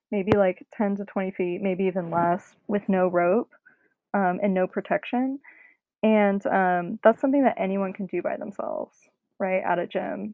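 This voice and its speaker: Medium-pitched woman with an American accent, an unremarkable speaking voice, moderate pace and ordinary pitch variation. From North Carolina. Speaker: rock climber. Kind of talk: casual chat.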